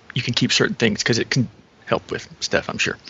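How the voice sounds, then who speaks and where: A man rattles along very fast while noticeable noise fills the background. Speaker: tabletop game player. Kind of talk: casual game chat.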